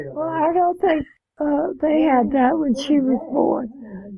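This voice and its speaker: A woman's voice with ordinary pitch variation. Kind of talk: interview answer. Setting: home, TV on in background. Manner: soft-spoken, sudden loud bursts.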